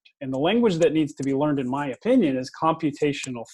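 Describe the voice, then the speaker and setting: With an American accent and an unremarkable speaking voice, a man talks at a fairly high pitch with ordinary pitch variation. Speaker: education technology vlogger. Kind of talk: interview.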